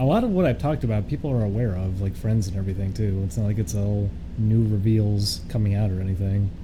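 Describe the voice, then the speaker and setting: With audible room echo, a man talks at a very fast pace with hardly any pauses, fairly low pitch and ordinary pitch variation. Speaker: streamer. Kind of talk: casual live stream chat. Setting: live stream.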